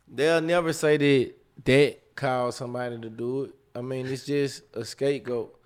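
His loudness shifts in big swings while his intonation stays fairly even. The man speaks at a moderate pace. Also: medium pitch for a man. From Jackson, Mississippi. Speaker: rapper. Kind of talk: casual chat. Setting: studio.

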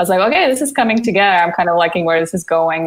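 This woman's voice is fairly low in pitch, and noticeable background noise can be heard. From Bulgaria. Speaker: visual artist. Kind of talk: casual chat.

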